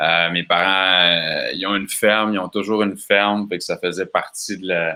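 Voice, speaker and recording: Speaking in a Quebec accent at a fairly slow pace, a man has a very deep, low voice with a bright, sharp tone. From Quebec, Bas-Saint-Laurent. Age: 30s. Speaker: festival organizer. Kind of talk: casual interview. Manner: calm.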